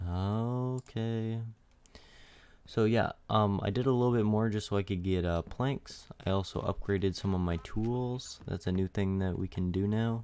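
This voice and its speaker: A man at a fairly low pitch, dark, mellow tone, fairly even intonation and moderate pace on a very clean recording with a silent background. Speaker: gaming YouTuber. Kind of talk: gameplay commentary. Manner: casual, hesitant with fillers.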